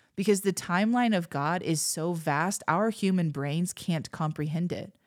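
An animated voice moves at a moderate pace with ordinary pitch variation in a very clean recording with a silent background. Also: woman. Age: 40s. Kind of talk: casual teaching monologue.

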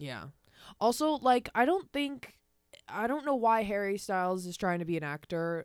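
A woman with an American accent speaks in a medium-pitched voice, her pitch swinging very widely. The recording is very clean, with a silent background. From US Northeast (Long Island, New York). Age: young. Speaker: podcast host. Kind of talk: casual chat. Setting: home recording setup with handheld mics. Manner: fast.

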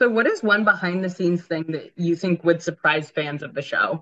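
A woman's bright, sharp voice at a moderate pace, with ordinary pitch variation. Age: 20s. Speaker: podcast co-host. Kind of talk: casual chat. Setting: in a car.

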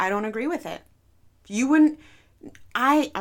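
In a very clean recording over a silent background, a woman's voice comes through. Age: 30s. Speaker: podcast host. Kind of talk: personal monologue. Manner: slow, with pauses; unscripted.

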